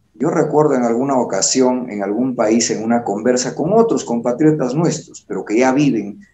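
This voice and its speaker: At a medium pitch and a moderate pace, a man talks in an ordinary speaking voice with ordinary pitch variation. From Peru. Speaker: TV interview host. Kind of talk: interview.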